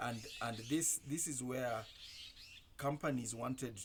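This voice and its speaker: A man talks at a moderate pace with ordinary pitch variation. His voice carries vocal fry. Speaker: commentator. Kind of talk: monologue. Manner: halting, with many repetitions.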